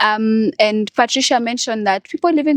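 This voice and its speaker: In a very clean recording with a silent background and a dry, close sound with no echo, a woman uses an ordinary speaking voice, fairly high in pitch and at a fairly quick pace. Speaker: young HIV activist. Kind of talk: podcast panel discussion.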